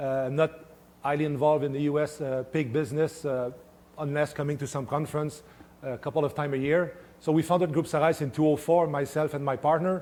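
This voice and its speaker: Fairly high-pitched and very fast, a man talks in a monotone, flat intonation. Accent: French-Canadian. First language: French. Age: 50s. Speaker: swine nutritionist. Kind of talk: conference talk. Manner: halting, many fillers.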